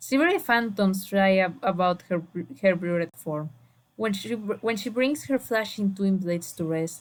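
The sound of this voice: Reading comes in an unforced voice. The pitch shifts an ordinary amount.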